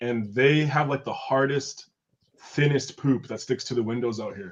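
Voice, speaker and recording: A man with an American accent talks in an ordinary speaking voice at medium pitch and a moderate pace. His intonation is fairly even, while his loudness swings widely. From rural Oregon, US. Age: 30s. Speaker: guest, window cleaner in Japan. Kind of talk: casual chat.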